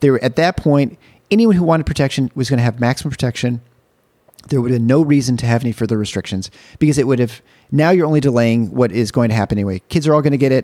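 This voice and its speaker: Very fast and dark, mellow in tone, a man's medium-pitched voice shows ordinary pitch variation. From Michigan. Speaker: physician and podcaster. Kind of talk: casual chat. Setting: in person at a kitchen table.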